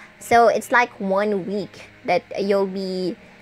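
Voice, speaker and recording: With a slight Visayan accent, a woman speaks with fairly even intonation. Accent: Bisaya Filipino accent, mild. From Philippines, Visayas. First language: Bisaya (Cebuano). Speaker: vlogger, call center agent. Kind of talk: casual vlog talk. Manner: hesitant, with fillers.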